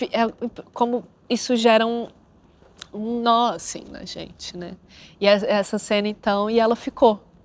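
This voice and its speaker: A woman speaks at a fairly slow pace in a flat monotone, with long, frequent pauses. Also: big swings in loudness, dry sound with no echo. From Brazil, Brasília; Brazil. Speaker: actress. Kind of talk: interview. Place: studio. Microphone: lapel.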